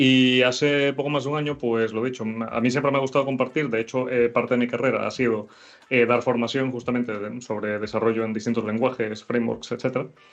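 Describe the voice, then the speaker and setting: At a very fast pace, a man talks in a monotone, flat intonation. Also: medium pitch for a man. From Venezuela. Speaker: programmer and content creator. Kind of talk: interview. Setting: live stream. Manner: halting.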